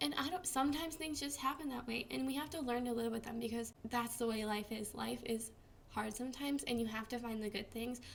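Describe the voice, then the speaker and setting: At a very fast pace, a woman with a fairly high pitch talks over noticeable background noise. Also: ordinary pitch variation. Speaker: vlogger with Crohn's disease. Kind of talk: casual vlog tips. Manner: casual, filler-heavy.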